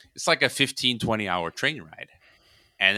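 A man with a Chicago accent speaks in a bright, sharp tone, recorded with a dry, close sound and no echo. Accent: American, Chicago. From US Midwest, Chicago, Croatian immigrant parents. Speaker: podcast host and geopolitics commentator. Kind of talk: casual interview. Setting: remote call.

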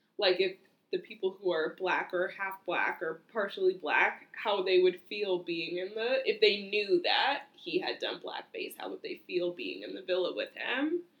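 A woman talks at a fairly slow pace with hardly any pauses. Her loudness swings widely. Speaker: podcast co-host. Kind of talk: casual chat. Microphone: computer mic, distorted.

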